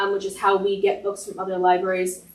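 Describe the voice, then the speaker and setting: A woman with an American accent. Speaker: library staff manager acting for director. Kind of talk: staff report at public board meeting. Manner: loud.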